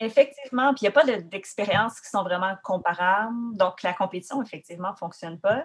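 Somewhat breathy, a woman talks at a fairly quick pace and medium pitch. Her pitch varies in an ordinary way while her loudness swings widely. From Quebec, Rimouski (Bas-Saint-Laurent). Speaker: poet and musician. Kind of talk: interview. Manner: halting, many fillers.

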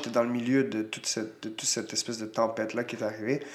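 With ordinary pitch variation and a fairly quick pace, this man talks in a plain, everyday voice. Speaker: retired Muay Thai fighter, coach and promoter. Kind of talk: casual interview.

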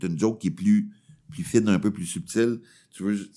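A man with a Quebec accent, a dark, mellow tone and a moderate pace. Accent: Québécois French. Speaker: comedian. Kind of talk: casual chat. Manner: animated.

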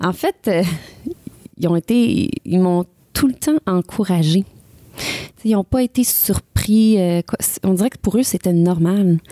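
Speaking at a very slow pace with long, frequent pauses, a woman has a medium-pitched, dark and mellow voice, ordinary pitch variation, and a dry, close sound with no echo. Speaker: country singer. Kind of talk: interview.

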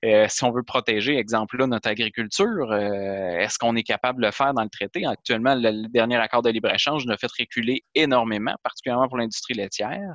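A man with an ordinary speaking voice at medium pitch, ordinary pitch variation, a fairly quick pace with hardly any pauses, and a dry, close sound with no echo against a quiet background. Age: 30s. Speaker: member of parliament. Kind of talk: interview.

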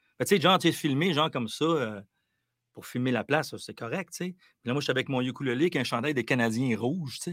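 Recorded very cleanly against a silent background, a man uses a normal speaking voice, fairly high in pitch with ordinary variation, at a fairly quick pace. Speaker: musician. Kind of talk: interview.

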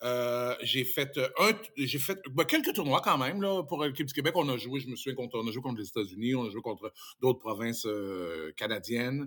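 A man talks in a normal speaking voice at medium pitch. His pace is moderate. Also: lively intonation. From Quebec (Saint-Tite, Mauricie). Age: 50s. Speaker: radio host and former handball player. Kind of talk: casual interview; show plug.

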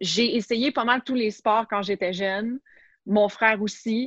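A woman's very slow speech, dry and close with no echo, over a quiet background. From Quebec, Montreal. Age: 30s. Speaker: sports journalist and TV host. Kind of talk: casual interview.

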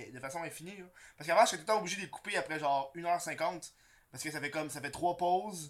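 Speech comes very fast in a Quebec accent. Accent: Québécois French. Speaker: podcast host. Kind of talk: casual chat. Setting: studio.

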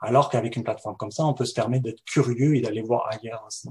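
A man's somewhat breathy voice at a fairly quick pace. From France. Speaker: web developer and entrepreneur. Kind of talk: interview.

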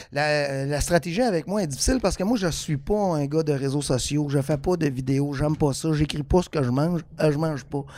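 Fairly high in pitch yet dark and mellow in tone, a man talks at a fairly quick pace with hardly any pauses and ordinary pitch variation. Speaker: comedian. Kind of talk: casual chat.

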